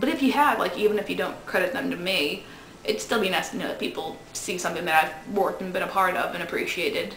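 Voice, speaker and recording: A woman's medium-pitched voice at a very fast pace with lively intonation, against noticeable background noise and audible room echo. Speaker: film student auditioning. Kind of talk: audition video monologue. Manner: casual, somewhat halting with fillers.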